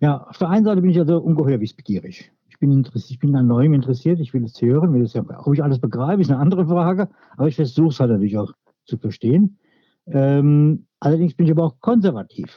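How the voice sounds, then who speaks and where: Talking at a very fast pace, a man with a fairly high pitch sounds somewhat breathy, with lively intonation and big swings in loudness. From Hesse, Germany (Hofheim-Marxheim). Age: 60s. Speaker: local politician. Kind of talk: interview. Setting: podcast recording.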